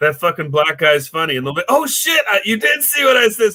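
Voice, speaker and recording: A man mumbles in a bright, sharp tone with an American accent. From Seattle, Washington. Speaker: comedian. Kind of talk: casual chat. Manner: mumbling.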